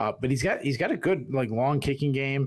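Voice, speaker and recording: With a Boston accent, a man speaks at a fairly quick pace. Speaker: podcast executive producer and co-host. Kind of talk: sports preview chat. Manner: halting.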